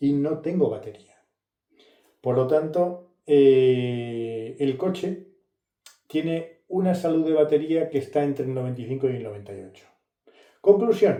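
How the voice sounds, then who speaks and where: Speaking at a fairly slow pace with long, frequent pauses, a man uses lively intonation and a dark, mellow tone. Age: 60s. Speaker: car and tech youtuber. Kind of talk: casual vlog review. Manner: halting, many fillers.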